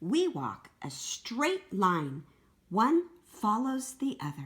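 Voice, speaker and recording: Using a put-on character voice, a woman talks very slowly at a fairly high pitch with very wide pitch swings. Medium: read story.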